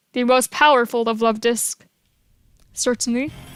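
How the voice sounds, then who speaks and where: The delivery is monotone and flat at a fairly slow pace. The sound is dry and close, with no echo. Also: woman. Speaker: gaming streamer. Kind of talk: live gameplay stream commentary. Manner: stuttering more than usual; drowsy, slurred speech.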